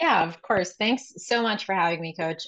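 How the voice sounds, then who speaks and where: An ordinary speaking voice, a woman talks at a medium pitch with ordinary pitch variation. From South Florida, Miami area. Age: 30s. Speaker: law student and paralegal, fitness client. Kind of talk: casual podcast interview.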